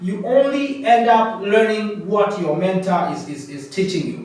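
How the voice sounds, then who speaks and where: Over noticeable background noise, a man talks in a high voice. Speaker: coaching program founder and facilitator. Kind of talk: presentation. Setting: in-person session with participants. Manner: loud; halting, repetitive.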